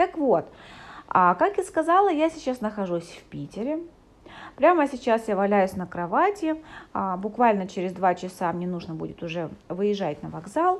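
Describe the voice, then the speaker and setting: A woman speaks at a moderate pace over a quiet background, her pitch swinging very widely, with long, frequent pauses. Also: medium pitch for a woman, big swings in loudness. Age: 30s. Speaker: psychologist and coach. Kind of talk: podcast monologue. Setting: hotel room while travelling.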